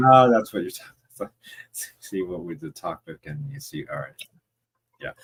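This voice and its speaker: A man speaks at a fairly quick pace in a medium pitch, somewhat breathy, with very wide pitch swings and big swings in loudness. Long, frequent pauses break up the speech, and the sound is dry and close with no echo. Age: 40s. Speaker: livestream host. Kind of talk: casual chat.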